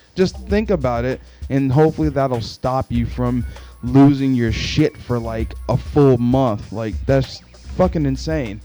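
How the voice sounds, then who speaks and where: Music sits in the background. A man speaks at a fairly slow pace. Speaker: podcaster. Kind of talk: casual podcast talk. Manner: frustrated ranting, profane.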